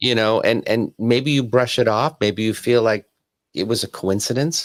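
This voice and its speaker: A plain, everyday voice talks at a moderate pace with ordinary pitch variation, in a very clean recording with a silent background and a dry, close sound with no echo. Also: man, medium pitch for a man. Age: 50s. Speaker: medium. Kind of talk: casual chat.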